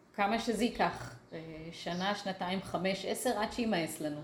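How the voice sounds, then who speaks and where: At a very slow pace and medium pitch, a woman speaks with ordinary pitch variation, with audible room echo and noticeable background noise around her. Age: 50s. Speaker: artist. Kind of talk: interview conversation.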